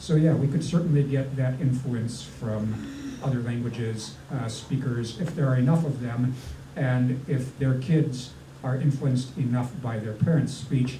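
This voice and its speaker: Amid noticeable background noise and audible room echo, a man with a Minnesotan accent speaks slowly at a medium pitch with fairly even intonation. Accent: Minnesota. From US, Northern Virginia. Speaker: linguist, historian of English. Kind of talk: panel talk at public science event. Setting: restaurant with live audience. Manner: many fillers (uh, um).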